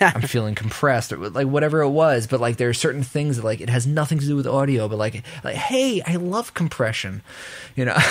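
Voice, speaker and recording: Using a New York accent, a man speaks at medium pitch and a fairly quick pace with ordinary pitch variation. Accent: New York American. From US, New York. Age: 20s. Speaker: audio engineer. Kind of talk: casual chat.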